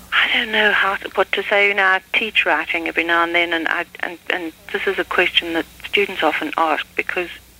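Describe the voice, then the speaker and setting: A woman's speech moves at a moderate pace with fairly even intonation while noticeable background noise runs underneath. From South Africa, Durban. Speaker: novelist. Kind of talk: interview.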